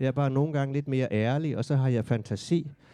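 A man with a Southern Jutland accent and a medium pitch speaks at a moderate pace in a dark, mellow tone with fairly even intonation. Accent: Southern Jutland Danish. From Southern Jutland, Denmark. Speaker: author and playwright. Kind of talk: interview conversation. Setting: café.

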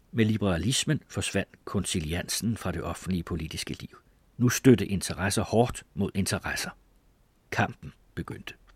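At a fairly slow pace, a man with a fairly low pitch speaks in a somewhat breathy voice. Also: ordinary pitch variation, big swings in loudness, dry, close sound with no echo. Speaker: audiobook narrator. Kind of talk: literary audiobook reading of a memoir, formal and measured.

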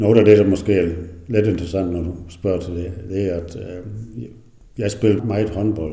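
A man with a very deep, low pitch and a dark, mellow, somewhat breathy tone speaks at a moderate pace with fairly even intonation, long, frequent pauses and audible room echo. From Southern Jutland, near Tønder, German minority. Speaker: retired dairy farmer. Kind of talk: interview. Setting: at home. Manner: halting.

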